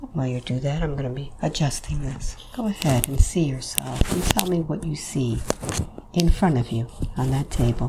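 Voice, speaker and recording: Loud background noise runs through the clip. The speech moves at a moderate pace. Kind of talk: calm hypnosis guidance. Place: home room.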